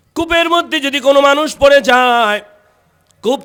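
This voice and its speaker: A man speaks in an animated tone. His voice is bright and sharp. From Bangladesh, Munshiganj. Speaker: Islamic preacher, mosque khatib. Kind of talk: sermon. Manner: loud, animated.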